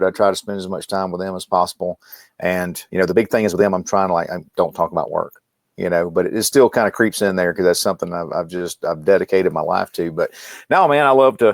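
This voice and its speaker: A man speaks at a fairly low pitch with ordinary pitch variation. The recording is very clean with a silent background and a dry, close sound with no echo. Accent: Mississippi. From US South, Mississippi. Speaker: medical trainer and company founder. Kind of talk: casual interview chat. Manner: halting, repeats words.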